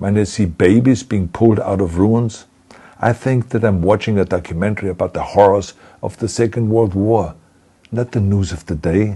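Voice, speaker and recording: A man speaks at a moderate pace with a fairly low pitch and fairly even intonation. His tone is dark and mellow, somewhat breathy. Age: 70s. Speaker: actor and former governor. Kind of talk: public video address.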